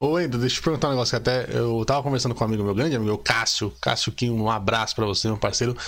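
The speech runs at a very fast pace with hardly any pauses, very even loudness and ordinary pitch variation. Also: man, medium pitch for a man. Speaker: podcast host. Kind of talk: casual chat. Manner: animated.

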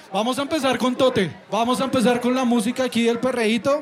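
A man speaks fairly fast while noticeable background noise carries on behind him. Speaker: podcast host. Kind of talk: live show hosting. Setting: stage with audience.

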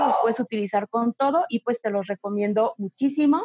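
Pitched fairly high, a woman speaks in an ordinary speaking voice with ordinary pitch variation. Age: 30s. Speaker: image consultant. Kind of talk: interview.

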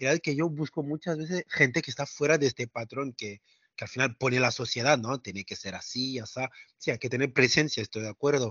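A man speaks at a moderate pace in a medium pitch with ordinary pitch variation and a normal speaking voice. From France. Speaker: travel entrepreneur. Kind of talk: interview.

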